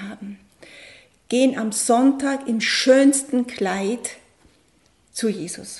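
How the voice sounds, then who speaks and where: A woman's high voice moves through ordinary pitch variation. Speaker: coach and aid worker. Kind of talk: radio interview. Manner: emotional, voice falters.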